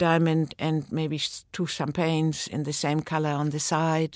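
On a very clean recording with a silent background, a woman with a very deep, low pitch speaks at a fairly slow pace. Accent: German. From Germany. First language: German. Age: 70s. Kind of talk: interview. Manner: halting, hesitant.

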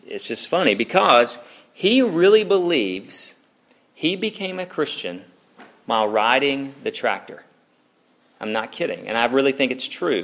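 Speaking at a fairly slow pace, a man uses a fairly high pitch with very wide pitch swings and vocal fry. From Alabama. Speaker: campus ministry preacher. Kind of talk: sermon. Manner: casual, conversational.

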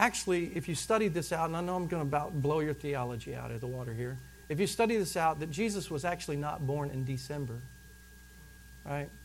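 Somewhat breathy and fairly quick, a man speaks with a fairly high pitch and ordinary pitch variation in a room with audible echo. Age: 40s. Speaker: pastor. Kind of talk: sermon.

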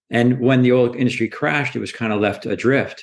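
An unremarkable speaking voice, a man at medium pitch and moderate pace against a quiet background. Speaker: startup founder and CEO. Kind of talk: interview.

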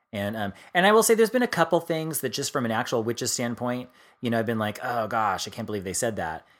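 A man with an unremarkable speaking voice and medium pitch speaks at a fairly quick pace with lively intonation, on a very clean recording with a silent background. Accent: American. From US East Coast. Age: 40s. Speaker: podcast co-host and author. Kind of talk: casual chat.

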